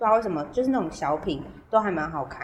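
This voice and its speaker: Her medium pitch swings very widely as this woman speaks. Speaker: podcast co-host. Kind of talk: casual chat. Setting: remote recording. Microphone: poor remote audio quality.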